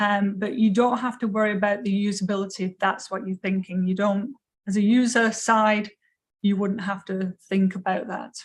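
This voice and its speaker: This woman's voice sits at a medium pitch and is somewhat breathy, with an English accent. Her intonation stays flat and monotone at a moderate pace. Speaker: education lecturer. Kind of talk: lecture Q&A.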